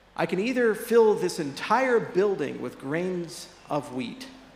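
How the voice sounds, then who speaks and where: Very slow pace, very wide pitch swings and audible room echo. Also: man. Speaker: keynote speaker. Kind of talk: conference keynote talk. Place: stage. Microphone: handheld.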